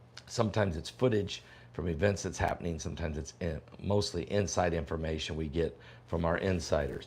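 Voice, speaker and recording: Somewhat breathy and at a fairly quick pace, a man with a very deep, low pitch speaks with ordinary pitch variation. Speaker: prophecy preacher and online pastor. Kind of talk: casual livestream chat. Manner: talking low; casual, halting with fillers.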